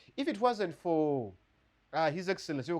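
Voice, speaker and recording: This man talks in an animated tone, his high voice making very wide pitch swings. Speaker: lawyer and podcast co-host. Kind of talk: casual discussion.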